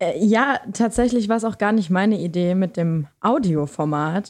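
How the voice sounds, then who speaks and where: Over a quiet background, a woman speaks at medium pitch with a dark, mellow tone. Her pace is moderate. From Lower Saxony, Germany. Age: 20s. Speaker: student and podcaster. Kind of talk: casual chat.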